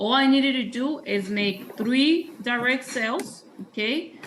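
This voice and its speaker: A high-pitched woman's voice, with ordinary pitch variation, comes through noticeable background noise. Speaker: sales trainer. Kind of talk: training presentation.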